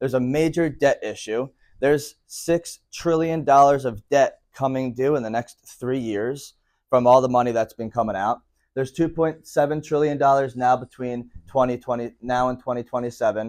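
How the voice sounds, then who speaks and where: An ordinary speaking voice from a man with an American accent, medium-pitched, at a moderate pace with fairly even intonation, in a very clean recording over a silent background. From Philadelphia, US. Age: 20s. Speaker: financial educator and company founder. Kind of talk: presentation to a live audience.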